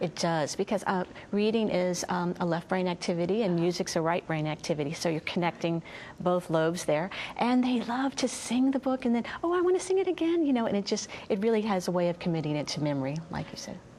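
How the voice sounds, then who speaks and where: With an American accent, a woman talks at a very fast pace in a medium pitch and lively intonation over noticeable background noise. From Louisiana, US South. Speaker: children's book author and musician. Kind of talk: TV interview. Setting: TV studio.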